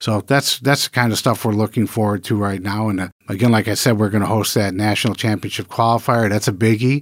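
A man with a Midwestern US accent talks at a very fast pace, with hardly any pauses. His pitch is fairly low, and the recording is very clean with a silent background. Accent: US Midwest. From Michigan. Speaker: culinary school dean. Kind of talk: interview. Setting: studio.

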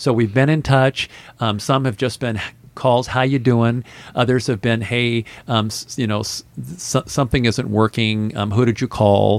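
Fairly even intonation in an American accent, delivered at a moderate pace. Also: man, medium pitch for a man. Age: 60s. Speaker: restaurant owner. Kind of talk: interview. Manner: halting, filler-heavy.

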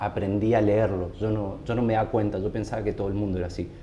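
In a room with audible echo, a man speaks in a somewhat breathy voice with a dark, mellow tone. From Argentina, San Rafael, Mendoza. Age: 30s. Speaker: designer and cycling community founder. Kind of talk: casual interview chat.

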